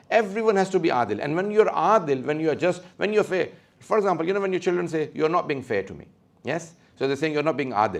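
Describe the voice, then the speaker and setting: The speech moves at a very fast pace, and the intonation is lively. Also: man, high pitch for a man. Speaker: religious speaker. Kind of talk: lecture.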